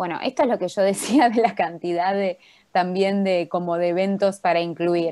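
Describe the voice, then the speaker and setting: In an ordinary speaking voice, a woman talks at a moderate pace and a medium pitch against a quiet background. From Argentina. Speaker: workshop instructor, doctoral student; presenter. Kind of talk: online workshop tutorial. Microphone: video call.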